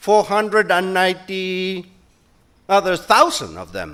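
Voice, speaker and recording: Bright and sharp in tone, a man with a Spanish accent is heard on a very clean recording with a silent background. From Spain. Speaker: conference speaker, company director. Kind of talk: conference talk.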